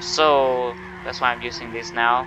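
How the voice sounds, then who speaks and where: Over noticeable background noise, a man speaks at medium pitch with lively intonation. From Thailand. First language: Thai. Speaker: gaming YouTuber. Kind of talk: gameplay tutorial commentary. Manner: casual, halting.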